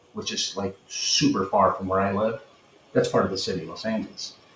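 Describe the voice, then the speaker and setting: A man talks at a moderate speed against noticeable background noise. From Peru, then San Fernando Valley, California. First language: Spanish. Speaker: retired police sergeant. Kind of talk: interview.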